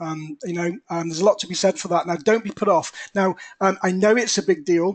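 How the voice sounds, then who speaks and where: A man's high voice with an English accent, fairly quick pace and fairly even intonation, in a dry, close sound with no echo. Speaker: property investor. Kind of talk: webinar presentation. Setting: webinar. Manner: quiet.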